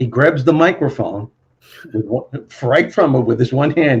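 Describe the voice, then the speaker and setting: A man's somewhat breathy voice sits at a fairly high pitch with ordinary pitch variation. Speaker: motivational speaker and former comedian. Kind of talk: interview answer. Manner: storytelling.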